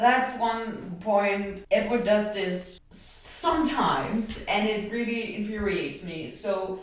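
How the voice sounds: The voice is a natural reading voice. It reads the text aloud.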